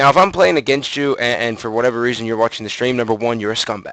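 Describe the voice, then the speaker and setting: Speaking at a very fast pace, a man holds a medium pitch with ordinary pitch variation. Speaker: competitive gamer and streamer. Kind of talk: casual live-stream monologue. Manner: halting, many fillers and repeats.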